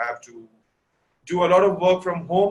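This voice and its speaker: A loud man at a high pitch, speaking at a moderate pace. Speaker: fashion photographer and teacher. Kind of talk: webinar lecture.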